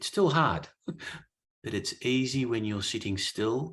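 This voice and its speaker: A speaker with an Australian accent talks at a very slow pace. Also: man. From southern Australia, country area. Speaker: guest speaker on spiritual teachings. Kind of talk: Q&A discussion.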